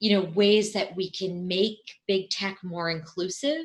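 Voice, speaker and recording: A woman speaks at a fairly slow pace. Her tone is bright, sharp and animated. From immigrant family, grew up in the US. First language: not English. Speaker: documentary film director. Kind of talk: interview.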